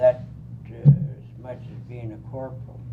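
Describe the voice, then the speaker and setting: Speaking at a fairly slow pace, a man with an American accent uses a medium pitch. Room echo can be heard. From Colorado. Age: 70s. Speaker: war veteran. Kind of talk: oral history interview.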